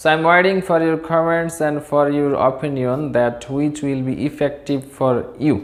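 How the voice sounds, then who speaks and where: A woman's very deep, low voice in a Bangladeshi accent, with fairly even intonation and audible room echo. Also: fairly slow pace, hardly any pauses. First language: Bengali. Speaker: English teacher. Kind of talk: lecture. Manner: careful pronunciation.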